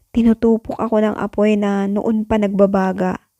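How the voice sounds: Reading in a natural voice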